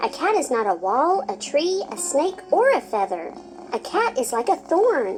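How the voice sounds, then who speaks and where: A female-sounding voice puts on a squeaky character voice at a moderate pace. Clear background noise can be heard. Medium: read story. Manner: earnest, eager.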